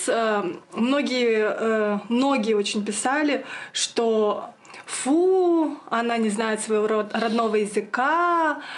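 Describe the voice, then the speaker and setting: With a Yakut accent, a woman speaks at a fairly high pitch with lively intonation and very even loudness, amid noticeable background noise and audible room echo. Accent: Yakut accent in Russian. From Yakutia, Russia. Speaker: video blogger. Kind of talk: casual Q&A chat. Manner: hesitant, many fillers.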